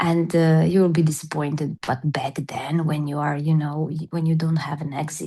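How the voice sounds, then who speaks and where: A woman with a Serbian accent and a very deep, low pitch, her tone dark and mellow, her intonation monotone and flat, her pace fairly slow. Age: 40s. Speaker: personal-development coach. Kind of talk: interview. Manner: halting.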